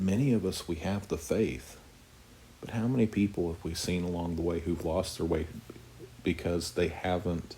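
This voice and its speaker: A man with an American accent speaks quietly at a moderate pace in a very deep, low voice that is somewhat breathy and strained, with a dark, mellow tone. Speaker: Bible teacher. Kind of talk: Bible study teaching. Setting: home, living room at night. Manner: somewhat monotone; quiet, restrained volume.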